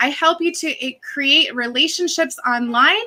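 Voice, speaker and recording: A woman speaks in a raised, projected voice at a high pitch. Her pace is fairly slow. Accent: Massachusetts. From Massachusetts. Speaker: social media coach. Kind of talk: live video tutorial. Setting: live stream.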